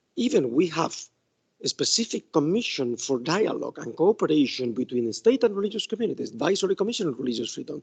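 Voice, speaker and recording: A man with a Spanish accent at a fairly high pitch, very fast, with very wide pitch swings and a dry, close sound with no echo. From Spain. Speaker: law professor. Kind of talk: academic talk. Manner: halting.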